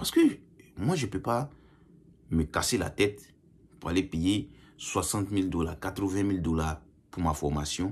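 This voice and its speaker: Recorded very cleanly against a silent background, the voice is somewhat breathy, with lively intonation, a fairly slow pace and long, frequent pauses. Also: man, very deep, low pitch for a man. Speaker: YouTuber commenting on Canadian immigration. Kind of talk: casual vlog commentary. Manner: hesitant, repeats words.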